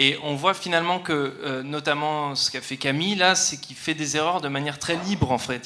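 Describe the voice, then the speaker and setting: A man with a fairly high pitch and fairly even intonation at a moderate pace, hardly any pauses, over noticeable background noise. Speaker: audience member. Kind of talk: audience question. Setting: hall with large audience.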